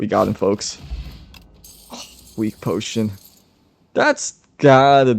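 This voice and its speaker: Very slow speech broken by long, frequent pauses. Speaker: gaming youtuber. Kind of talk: gameplay commentary. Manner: casual, filler-heavy.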